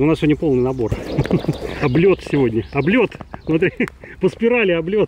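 Over noticeable background noise, a man with a fairly high voice speaks with lively intonation. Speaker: photography vlogger. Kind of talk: outdoor vlog tutorial. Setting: outdoors in a park.

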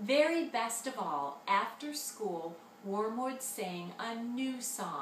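Lively intonation runs through this clip. It is a natural reading voice.

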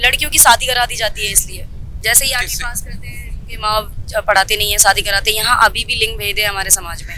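A woman with a fairly high pitch speaks at a moderate pace in a normal speaking voice, with fairly even intonation. The sound is dry with no echo, and there is light background noise. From Delhi. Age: young. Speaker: community social worker. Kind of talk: interview. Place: street. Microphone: handheld.

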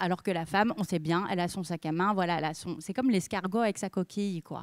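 The sound is dry with no echo, against a quiet background. A woman speaks at a medium pitch with ordinary pitch variation. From France. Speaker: journalist and author; journalist. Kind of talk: talk to an audience. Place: stage. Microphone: handheld.

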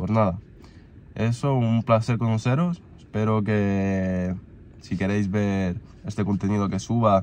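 Speaking at a fairly slow pace, a man with a fairly low pitch and a slightly mellow tone keeps his intonation fairly even.

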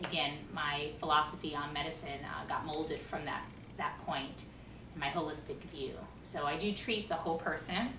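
Over noticeable background noise, a woman with a very deep, low voice talks at a moderate pace with ordinary pitch variation. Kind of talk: personal talk to camera. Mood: warm, smiling. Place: home room. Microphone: camera far.

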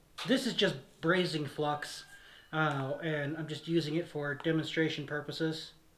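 Fairly even intonation and a fairly slow pace come through with audible room echo.

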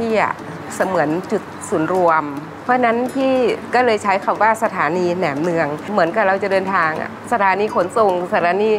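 Music sits in the background as a woman speaks with ordinary pitch variation. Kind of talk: interview answer. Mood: warm, smiling. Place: cafe. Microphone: lapel.

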